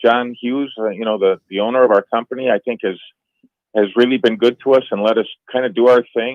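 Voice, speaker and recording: A man with a plain, everyday voice speaks at a fairly quick pace and medium pitch. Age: 60s. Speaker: golf writer. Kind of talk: casual chat.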